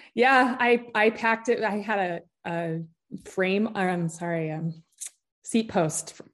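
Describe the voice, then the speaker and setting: A woman with an American accent speaks at a medium pitch. She talks at a very slow pace with ordinary pitch variation. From Utah. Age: 40s. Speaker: author and endurance athlete. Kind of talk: casual interview chat.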